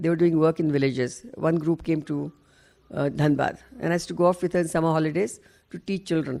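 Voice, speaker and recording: The voice has a dark, mellow tone, ordinary pitch variation and a very fast pace. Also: woman, very deep, low pitch for a woman. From India, Maharashtra and Bihar. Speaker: lawyer and activist. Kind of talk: oral history interview. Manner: halting.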